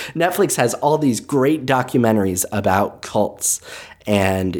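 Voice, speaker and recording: The recording is very clean and the background is silent. In it, a man talks at a fairly slow pace. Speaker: podcast host and essayist. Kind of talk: rambling monologue that turns into reading an essay aloud. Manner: self-mocking, unhinged, animated.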